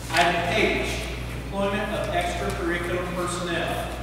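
Strong room echo and noticeable background noise surround a man's voice. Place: hall. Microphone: camera far.

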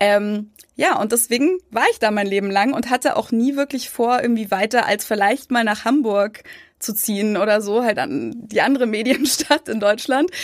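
This is a plain, everyday voice, a woman's with a fairly high pitch and ordinary pitch variation. She talks at a moderate pace on a very clean recording with a silent background. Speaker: YouTuber and emigrant. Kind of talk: casual interview chat.

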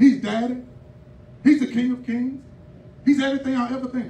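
In a room with audible echo and light background noise, a man talks fairly quickly in an animated tone at an extremely high pitch. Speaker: preacher. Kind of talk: sermon. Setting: church. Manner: animated, call-and-response pulpit delivery, exhorting the congregation. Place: church. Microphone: handheld.

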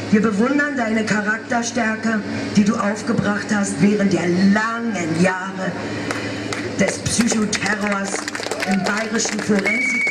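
A woman talks at a fairly slow pace, leaving long, frequent pauses. Loud background noise runs behind her. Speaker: speaker. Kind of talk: reading a public statement. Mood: solemn, determined. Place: street. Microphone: handheld.

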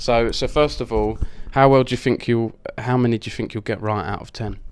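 A man speaks with an Essex accent at a medium pitch. The recording is very clean, with a silent background. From Essex, England. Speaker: esports interviewer. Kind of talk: casual, chatty.

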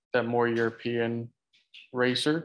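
The voice carries an American accent. Its pace is fairly slow. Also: man. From Florida, US. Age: 20s. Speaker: cycling team founder and racer. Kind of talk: casual chat. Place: home room. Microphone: video call.

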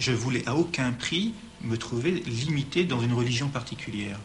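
The room echo is audible around this man's speech. His pitch moves with ordinary variation. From Nice, France. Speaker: student. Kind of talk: testimony.

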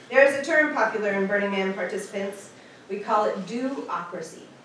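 Fairly quick and lively in intonation, a woman speaks with audible room echo and light background noise. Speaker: presenter. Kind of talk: prepared talk. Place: hall.

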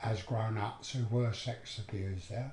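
A man with a dark, mellow tone, somewhat breathy, at a fairly slow pace in audible room echo. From London, Edmonton. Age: 70s. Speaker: abuse survivor. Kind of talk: testimony. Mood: sombre, reflective recollection. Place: home room.

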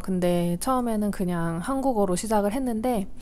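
Her medium-pitched voice carries lively intonation as the woman talks at a moderate pace. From South Korea. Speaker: knitting vlogger; knitting channel vlogger. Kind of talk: casual vlog talk. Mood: calm, friendly. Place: home room. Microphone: lapel.

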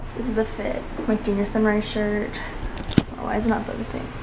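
Loud background noise beneath talk at a fairly quick pace. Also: woman. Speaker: student vlogger. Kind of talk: casual vlog chat.

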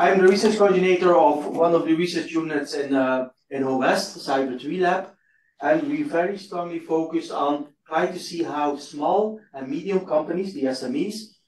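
Room echo is audible as a man speaks at a moderate pace. His pitch is high, with ordinary variation. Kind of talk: conference talk. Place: hall.

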